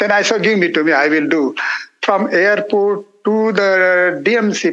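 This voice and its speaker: In an Indian accent, a man speaks fairly slowly with a bright, sharp tone. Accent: Indian (Marathi) English. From India, Marathi-speaking (Maharashtra). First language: Marathi. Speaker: monk. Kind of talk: interview testimony. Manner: halting.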